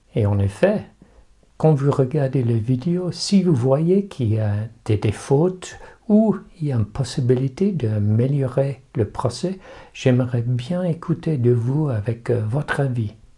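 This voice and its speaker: In an English accent, a man speaks at a very slow pace against a quiet background, his medium-pitched voice somewhat breathy with a dark, mellow tone and lively intonation. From England. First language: English (speaking French). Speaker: rephotography youtuber. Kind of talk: tutorial. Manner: halting, with repetitions and fillers.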